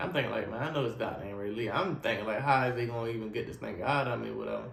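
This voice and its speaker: A man's voice with audible room echo and ordinary pitch variation. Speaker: spinal cord injury survivor sharing his story. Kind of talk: personal testimony. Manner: casual, repetitive storytelling.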